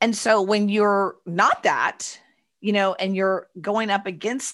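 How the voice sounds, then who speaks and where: Against a quiet background, a woman speaks at a fairly slow pace. Her pitch is medium, with ordinary variation. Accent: Texan. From Texas, Houston. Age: 40s. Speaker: entrepreneur and author. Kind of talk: casual interview. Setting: video call.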